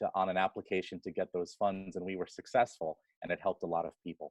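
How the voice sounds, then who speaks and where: A man with an American accent, fairly low-pitched, talking at a very fast pace. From Queens, New York City. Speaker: nonprofit executive. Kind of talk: interview.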